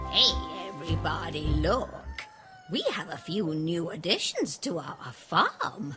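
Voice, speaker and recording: A put-on character voice speaks at a middle pitch and a fairly slow pace. Clear music plays in the background. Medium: read story. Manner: haughty.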